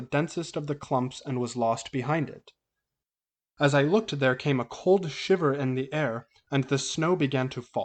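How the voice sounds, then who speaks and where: A man with a fairly high pitch, at a moderate pace. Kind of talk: horror audiobook reading. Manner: dramatic.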